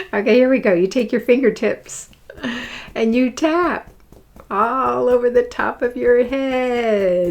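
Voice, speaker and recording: A woman speaks at a very slow pace with a high pitch and a soothing, gentle tone. Her pitch varies in an ordinary way over noticeable background noise. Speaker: spiritual teacher. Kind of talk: guided exercise.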